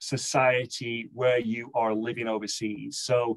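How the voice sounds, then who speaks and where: A man speaks with an American accent. His voice sits at a medium pitch. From northern England, Manchester. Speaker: business executive. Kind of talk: interview.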